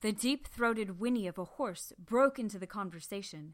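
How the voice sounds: Pitch shifts by an ordinary amount as this natural reading voice goes on.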